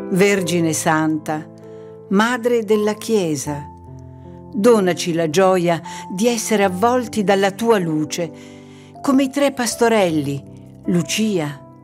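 Over background music, a woman speaks very slowly at a medium pitch with lively intonation and long, frequent pauses. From Sicily, Italy. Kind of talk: devotional poetry reading. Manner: expressive.

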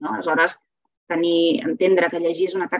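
A woman speaks at a moderate pace with a fairly low pitch. The sound is dry with no echo. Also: quiet background. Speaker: literature teacher and reading promoter. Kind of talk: webinar lecture with slides. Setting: video call webinar. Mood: warm, enthusiastic. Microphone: webcam.

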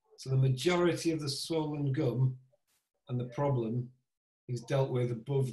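Over a quiet background with audible room echo, a man with a dark, mellow, somewhat breathy tone speaks fairly slowly in fairly even intonation. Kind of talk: tutorial. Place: home room. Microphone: video call.

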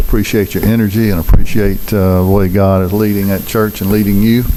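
Over audible room echo, a man with a Mississippi accent and a fairly low pitch talks at a fairly quick pace with hardly any pauses. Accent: Southern US, Mississippi. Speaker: city mayor chairing board meeting. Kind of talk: public meeting proceedings.

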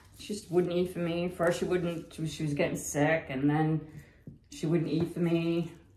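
A woman with an American accent speaks at a fairly low pitch and with fairly even intonation, with audible room echo around her. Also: moderate pace. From Massachusetts. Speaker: fluid art painter; fluid art creator. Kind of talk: painting tutorial. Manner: casual, halting with many fillers. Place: home room.

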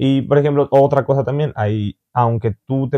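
Ordinary rises and falls in a man's pitch, over a quiet background. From Mexico. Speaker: vlogger and interviewer; vlogger, interviewer. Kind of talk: casual interview chat. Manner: halting, with many fillers. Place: home room.

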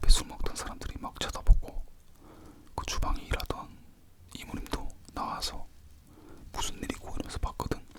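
Someone whispers at a moderate pace with long, frequent pauses against noticeable background noise. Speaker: ASMR creator. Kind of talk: casual storytelling to viewers. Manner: whispered, soft-spoken.

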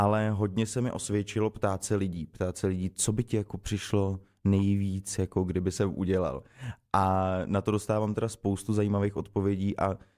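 This man talks with a fairly low pitch and a flat, monotone intonation at very even loudness against a quiet background. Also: moderate pace. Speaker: guest. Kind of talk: interview answer. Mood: relaxed, amused. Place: studio. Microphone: studio mic.

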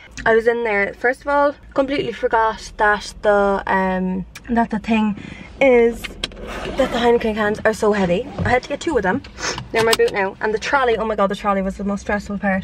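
Her pitch varies in an ordinary way as a woman speaks at a moderate pace, the sound dry with no echo but with noticeable background noise. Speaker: vlogger. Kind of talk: casual vlog chat. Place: car. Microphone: camera far.

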